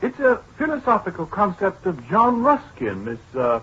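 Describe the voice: In a put-on character voice, a man speaks at a moderate pace with a high pitch. His tone is fairly bright, and his pitch swings very widely.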